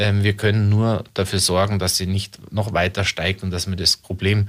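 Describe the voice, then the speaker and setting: A man speaks at a moderate pace in a very deep, low voice, his intonation monotone and flat. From Munich, Bavaria. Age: 40s. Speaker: local politician. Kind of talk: radio interview.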